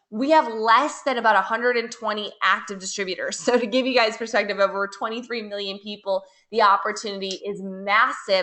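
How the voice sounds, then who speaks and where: A woman speaks in an American accent with an ordinary speaking voice. Her pitch is fairly high and her pace fairly quick. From USA. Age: 30s. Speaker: network marketing leader. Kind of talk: webinar sales pitch.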